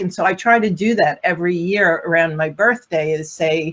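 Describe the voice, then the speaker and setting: This woman has an ordinary speaking voice, medium in pitch. She keeps a moderate pace and ordinary pitch variation. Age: 50s. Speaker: relationship and divorce coach. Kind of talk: casual panel discussion.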